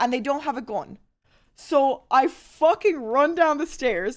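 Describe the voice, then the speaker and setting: A woman with an Irish accent speaks at a high pitch with lively intonation in a very clean recording with a silent background. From Ireland. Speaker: streamer. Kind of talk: casual storytelling on a live stream. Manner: animated.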